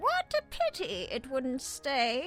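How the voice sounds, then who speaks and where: Over clear background music, a female-sounding voice does a put-on character voice at a high pitch. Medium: audio drama.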